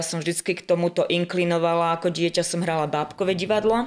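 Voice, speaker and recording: An unremarkable speaking voice carries fairly even intonation. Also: woman. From western Slovakia, near Zlaté Moravce. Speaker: art school teacher and wedding folk group leader. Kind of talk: casual chat.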